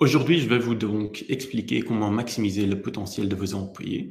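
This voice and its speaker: A man with a non-native accent speaks at a fairly low pitch with vocal fry. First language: not French (speaking French). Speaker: HR software presenter. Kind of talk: webinar presentation. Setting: online webinar. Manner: hesitant, frequent fillers.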